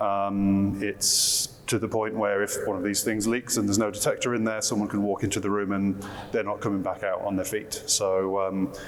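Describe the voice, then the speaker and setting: With a British accent, the speaker keeps a monotone, flat intonation and very even loudness amid noticeable background noise and audible room echo. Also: man, fairly low pitch for a man, moderate pace. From UK. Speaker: marketing director. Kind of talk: panel discussion. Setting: conference stage with audience.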